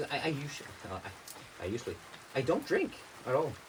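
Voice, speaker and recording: Man with a Norwegian accent, noticeable background noise behind him. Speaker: vlogger. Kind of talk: casual vlog monologue. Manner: halting.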